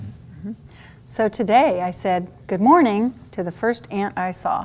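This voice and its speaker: In a normal speaking voice, the speaker goes at a fairly slow pace with lively intonation. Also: woman, medium pitch for a woman. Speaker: adult literacy tutor. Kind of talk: tutoring session, modeling reading aloud.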